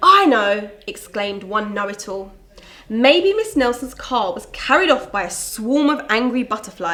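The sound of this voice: The speaker uses an unforced reading voice.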